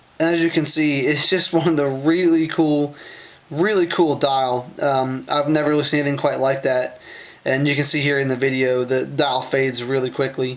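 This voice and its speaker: Over noticeable background noise, a man with a fairly high pitch talks at a moderate pace, keeping very even loudness and fairly even intonation. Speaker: watch reviewer. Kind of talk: product review video. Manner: halting, many fillers; casual, unscripted.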